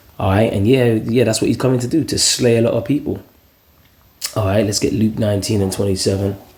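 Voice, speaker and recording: A quiet man speaks at a very fast pace, broken by long, frequent pauses. His intonation stays fairly even, with noticeable background noise behind him. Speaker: religious video preacher. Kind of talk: scripture commentary monologue. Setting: at home, early morning. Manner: quiet, talking low.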